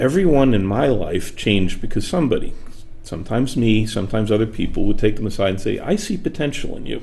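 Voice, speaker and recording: A man's dark, mellow voice at medium pitch, with lively intonation, a very fast pace and audible room echo. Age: 60s. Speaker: author and workplace speaker. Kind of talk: interview conversation. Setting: studio.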